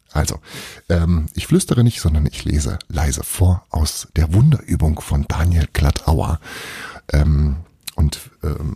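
A man with a very deep, low pitch speaks at a very slow pace, with long, frequent pauses. The sound is dry and close, with no echo. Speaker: podcast host. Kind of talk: casual monologue. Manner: quiet reading voice for the book passage.

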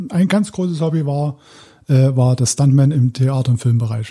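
In a slight Saxon accent, a man speaks with a fairly high, somewhat breathy, dark, mellow voice and ordinary pitch variation. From Saxony, Dresden. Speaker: former stuntman and paramedic. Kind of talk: interview testimony. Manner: halting.

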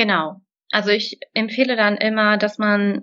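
A woman is speaking. Her pitch is fairly high. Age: 20s. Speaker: graphic designer. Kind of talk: interview. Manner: hesitant fillers.

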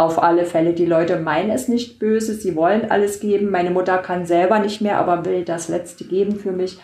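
At a fairly quick pace and with hardly any pauses, a woman talks at medium pitch with fairly even intonation, and room echo is audible. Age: 60s. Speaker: patient with multiple sclerosis, blogger. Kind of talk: casual interview.

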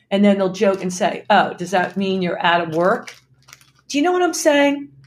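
Here a woman talks at a moderate pace. Her pitch sits in the medium range yet swings very widely. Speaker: podcast host. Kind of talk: casual chat.

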